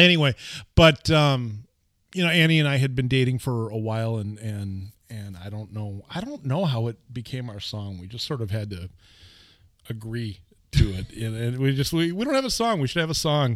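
With an American accent, a man in an ordinary speaking voice talks at a moderate pace and medium pitch, with lively intonation and big swings in loudness. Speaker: radio host and bartender. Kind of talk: casual chat about music.

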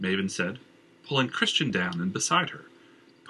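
The voice heard is a natural reading voice.

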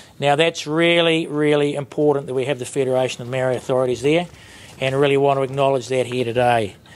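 A man with a fairly high pitch talks at a very fast pace over noticeable background noise. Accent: New Zealand. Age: 50s. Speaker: sheep farmer and industry board chair. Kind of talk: panel discussion. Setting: conference stage with audience.

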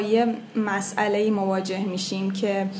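A woman speaks with music playing behind her. The room gives off audible echo. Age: 20s. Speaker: translator of children's books. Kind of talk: interview.

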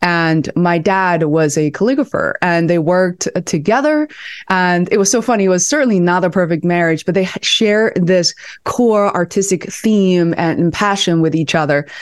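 A woman talks at a moderate pace with a Chinese accent and medium pitch. Her intonation is lively while her loudness stays very even. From China, Beijing. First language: Mandarin Chinese. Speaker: video producer and content strategist. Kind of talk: casual interview chat. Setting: video call.

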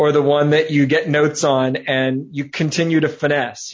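A man uses a plain, everyday voice with an American accent at a fairly high pitch. His intonation is fairly even and his pace fairly slow. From outside US, where cookies are called biscuits. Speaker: comedian and writer. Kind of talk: casual chat.

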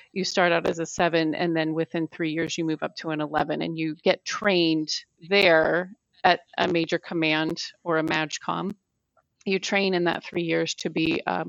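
In an American accent, a woman speaks in a fairly low, flat monotone. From US, army family. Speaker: government historian. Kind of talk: interview.

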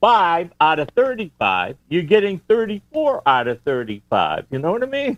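A man with a high pitch talks at a moderate pace, his pitch swinging very widely. He barely pauses at all. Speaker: ham radio license examiner. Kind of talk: casual chat. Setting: home, remote call. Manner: loud.

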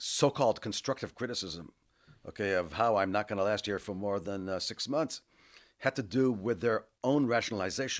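This man has a normal speaking voice with a fairly low pitch and an American accent. He talks at a fairly quick pace with ordinary pitch variation on a very clean recording with a silent background. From US West Coast, Los Angeles area. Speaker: university administrator. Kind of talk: interview.

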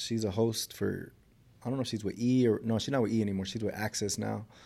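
In a very clean recording with a silent background, a man with an American accent talks in a dark, mellow tone at a fairly low pitch, keeping his intonation fairly even. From South Central Los Angeles. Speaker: fitness trainer. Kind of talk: casual interview.

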